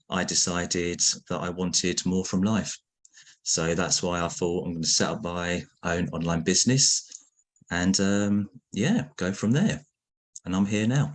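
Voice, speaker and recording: Against a quiet background, a man with a very deep, low voice speaks at a fairly slow pace, with ordinary pitch variation and long, frequent pauses. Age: 30s. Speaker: former school worker turned online entrepreneur. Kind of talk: group video call introduction.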